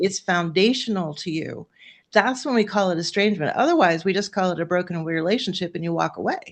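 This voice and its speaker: Against a quiet background, a woman speaks fairly quickly at a medium pitch with ordinary variation. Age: 60s. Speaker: life coach for women of faith facing estrangement. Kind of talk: panel conversation. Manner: halting, many restarts.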